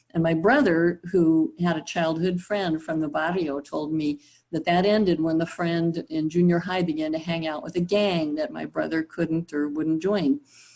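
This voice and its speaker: With an American accent, a woman speaks at a moderate pace in a fairly low pitch, keeping her intonation fairly even and hardly pausing. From Southern California. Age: 60s. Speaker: university faculty and facilitator. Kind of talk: personal storytelling in group discussion.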